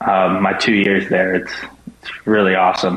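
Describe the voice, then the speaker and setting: Noticeable background noise runs through the clip. The talking goes at a fairly slow pace. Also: man. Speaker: college baseball player. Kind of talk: radio interview. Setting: remote call with earbuds.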